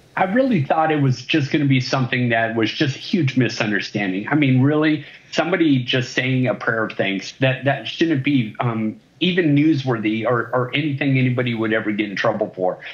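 Hardly pausing, a man talks at a fairly quick pace with very even loudness and ordinary pitch variation. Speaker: remote interview guest. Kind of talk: interview answer. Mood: earnest, a bit indignant. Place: home room. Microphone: video call.

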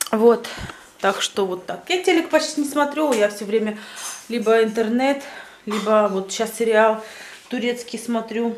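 A woman speaks at a fairly slow pace and a fairly high pitch, with ordinary pitch variation and long, frequent pauses. Light background noise and audible room echo are present. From Russian-speaking village, former USSR. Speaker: vlogger. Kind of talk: casual vlog monologue. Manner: animated.

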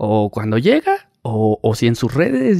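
A man's voice carries a dark, mellow tone with very wide pitch swings. The sound is dry and close, with no echo. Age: 30s. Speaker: paparazzi photographer. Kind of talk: casual interview chat.

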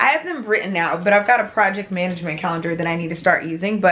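A woman talks at a very fast pace with ordinary pitch variation. Noticeable background noise runs behind her. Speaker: vlogger. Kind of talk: casual vlog chat. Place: home room. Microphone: phone near.

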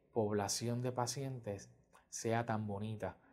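A dark, mellow tone, a fairly slow pace and monotone, flat intonation against a quiet background. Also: man. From Puerto Rico, San Germán; Puerto Rico. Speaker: pediatric cardiologist. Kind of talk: interview testimony. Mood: calm, warm, explanatory. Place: office. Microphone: lapel.

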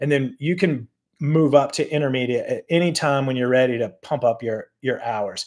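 Ordinary pitch variation from a man, moderately paced, quiet background. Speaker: cycling coach. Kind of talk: tutorial. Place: home room. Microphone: webcam.

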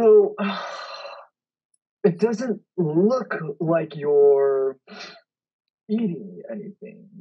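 At a very slow pace with long, frequent pauses, the speaker uses a middle pitch. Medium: comedy sketch. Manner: brusque, cynical.

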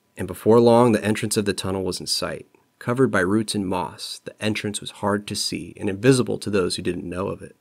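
A natural reading voice carries the clip.

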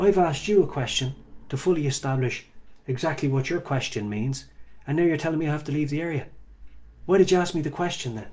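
Speaking with an Irish accent, a man talks at a very fast pace broken by long, frequent pauses, his fairly high, somewhat breathy voice showing ordinary pitch variation. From Ireland. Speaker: street preacher. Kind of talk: casual monologue talk. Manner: halting. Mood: indignant, arguing a point. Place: home room. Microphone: earbuds.

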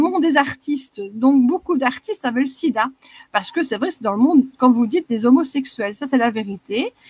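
A woman speaks at a high pitch with a Belgian accent and lively intonation. The sound is dry and close, with no echo.

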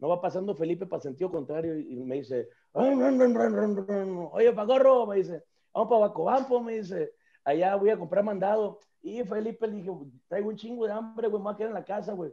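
Against a quiet background, a man with a Mexican accent speaks at a moderate pace in a high voice with a dark, mellow tone and lively intonation. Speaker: podcast co-host; podcast host. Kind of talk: casual chat. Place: home room. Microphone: video call.

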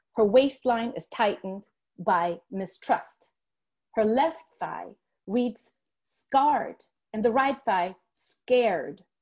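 Speaking very slowly with lively intonation, a woman is heard over a quiet background. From Dominican heritage. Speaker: professor. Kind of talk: panel presentation. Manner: formal. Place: home room. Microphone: earbuds.

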